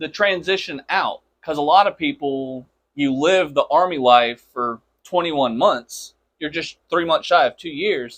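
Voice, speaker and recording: A man with a plain, everyday voice talks at a fairly slow pace in a fairly high pitch, with ordinary pitch variation and a dry, close sound with no echo. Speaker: podcast host. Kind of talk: interview questions. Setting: studio.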